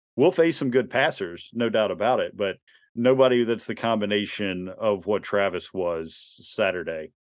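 With lively intonation, a man talks in a plain, everyday voice at a fairly low pitch. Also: moderate pace. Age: 40s. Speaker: sports podcast co-host. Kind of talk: casual sports chat.

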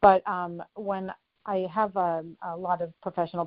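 The speaker has an ordinary speaking voice with fairly even intonation. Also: woman. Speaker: author and life coach. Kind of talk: interview.

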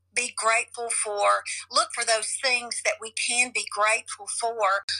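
A woman speaks with a Southern US accent. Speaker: coach and online seller. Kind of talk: casual chat.

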